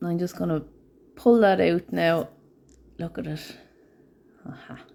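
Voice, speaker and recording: With an Irish accent, a woman speaks fairly slowly in a fairly low voice with a dark, mellow tone and lively intonation. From Ireland. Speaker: nail art educator. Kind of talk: live tutorial. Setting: live stream.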